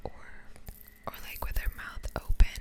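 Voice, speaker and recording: A woman whispering at a moderate pace amid noticeable background noise. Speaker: ASMR creator. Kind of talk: casual talk to camera. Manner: soft-spoken, close-whispered.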